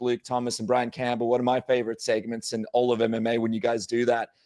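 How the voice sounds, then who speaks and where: A man talks very fast at a medium pitch. The sound is dry and close with no echo, over a quiet background. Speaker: MMA podcast host. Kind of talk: podcast interview talk.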